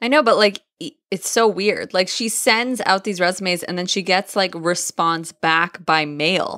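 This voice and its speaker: A woman speaks loudly in an animated, bright, sharp tone at medium pitch and a fairly slow pace with hardly any pauses and ordinary pitch variation, the sound dry and close with no echo. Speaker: podcast co-host and yoga instructor. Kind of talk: casual chat.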